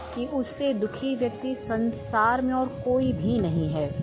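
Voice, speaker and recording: Music plays in the background. A woman speaks at a fairly high pitch with very wide pitch swings. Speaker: storyteller, spiritual teacher. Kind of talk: inspirational story podcast narration.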